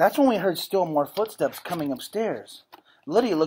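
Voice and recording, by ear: The speaker reads aloud in a natural voice, with lively intonation.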